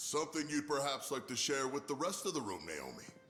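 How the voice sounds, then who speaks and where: Clear background noise sits behind a man's put-on character voice, fairly high in pitch and fairly quick in pace. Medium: video game.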